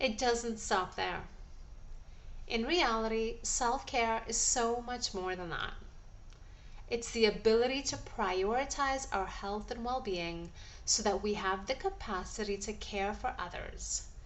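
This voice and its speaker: An ordinary speaking voice from a woman, fairly high in pitch, with ordinary pitch variation and a fairly slow pace. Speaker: holistic nutritionist and wellness coach. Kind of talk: wellness coaching audio talk.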